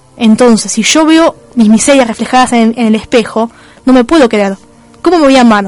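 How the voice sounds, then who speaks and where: Over noticeable background noise, a woman talks at a fairly high pitch with very even loudness. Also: ordinary pitch variation, fairly quick pace. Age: 30s. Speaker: radio host. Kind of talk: radio talk show monologue.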